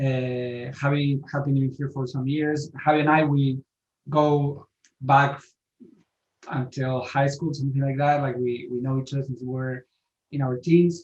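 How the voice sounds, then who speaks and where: A man speaks with a slight Spanish accent at a moderate pace, his pitch fairly high. His delivery is somewhat breathy, with monotone, flat intonation. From Spain. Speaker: author. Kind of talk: interview.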